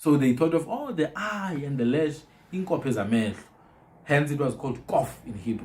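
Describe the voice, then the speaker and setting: A man's fairly high, somewhat breathy voice with lively intonation and a moderate pace. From southern Africa. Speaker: podcast host on African languages. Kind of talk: casual chat. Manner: repetitive stammering restarts.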